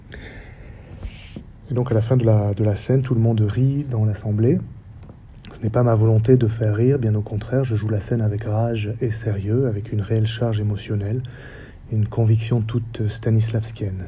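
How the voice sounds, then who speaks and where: With audible room echo, a man speaks at a medium pitch and a moderate pace in a flat monotone. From French Basque Country. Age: 40s. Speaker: theatre director and researcher. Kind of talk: lecture. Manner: formal.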